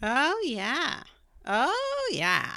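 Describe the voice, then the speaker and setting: A woman puts on a high-pitched character voice. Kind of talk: chatty, housewifely.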